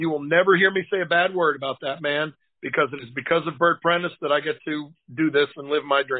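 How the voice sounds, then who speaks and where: This man has an unremarkable speaking voice, with an American accent, a fairly high pitch, fairly even intonation and a fairly quick pace. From Boston. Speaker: pro wrestling manager and lawyer. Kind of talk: casual interview.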